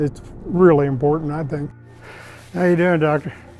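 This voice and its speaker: A man at a fairly high pitch and moderate pace, fairly even in intonation, with music in the background. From United States. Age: 70s. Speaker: retired railroad worker, cancer patient. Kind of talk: testimony.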